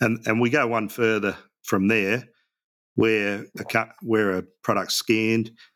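With monotone, flat intonation and a fairly low pitch, a man speaks in a very clean recording with a silent background. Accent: Australian. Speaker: app founder, business owner. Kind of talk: interview. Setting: radio studio.

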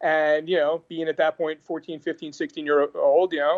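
In an American accent, a man talks at a moderate pace. His intonation stays fairly even. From New York. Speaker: concert production company owner. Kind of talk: casual interview.

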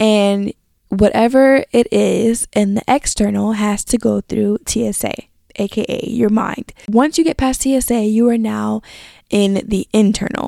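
At a fairly slow pace, a woman with a fairly high pitch and a dark, mellow tone keeps fairly even intonation, captured with a dry, close sound and no echo. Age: 20s. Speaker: podcast host. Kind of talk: casual solo podcast chat. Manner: stutters at times.

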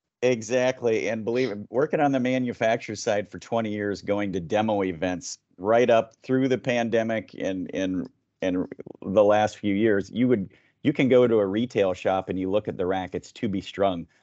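A man speaks in a plain, everyday voice, fairly low in pitch, with ordinary pitch variation at a moderate pace. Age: 50s. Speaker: tennis organization director, former player and coach. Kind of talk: interview podcast.

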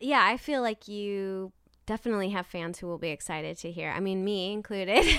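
A woman with an American accent talks at a fairly quick pace in a medium pitch with ordinary pitch variation. It is an unremarkable speaking voice on a very clean recording with a silent background. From Nebraska. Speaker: podcast host. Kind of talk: interview.

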